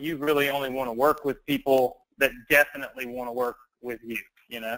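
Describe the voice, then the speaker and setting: Speaking in a Southern US accent, a man at a medium pitch has a bright, sharp tone, monotone, flat intonation and big swings in loudness. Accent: southern drawl. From US South. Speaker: online business trainer. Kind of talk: live webinar sales pitch. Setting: live online training call.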